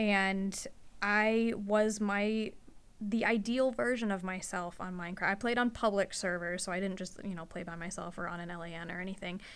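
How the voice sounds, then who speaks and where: The woman speaks at a medium pitch. Her pace is moderate and her intonation fairly even. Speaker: podcast host, veterinary receptionist. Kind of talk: casual chat. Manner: soft-spoken, shy.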